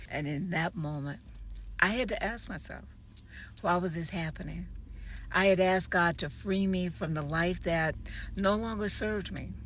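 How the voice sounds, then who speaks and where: A woman with a fairly low pitch and vocal fry talks at a moderate pace, her pitch varying in an ordinary way. Long, frequent pauses break her speech, and room echo is audible. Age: 60s. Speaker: author and entrepreneur. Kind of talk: personal testimony video.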